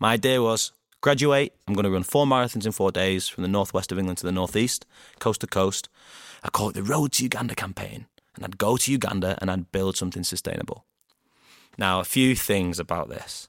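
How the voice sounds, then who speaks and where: In a Greater Manchester accent, a man with a fairly low pitch talks at a fairly quick pace, the sound dry and close with no echo. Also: ordinary pitch variation. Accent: Greater Manchester (Bolton), northern English. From Bolton, Greater Manchester. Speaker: founder of a storytelling podcast, fundraiser and former footballer. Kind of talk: casual interview chat.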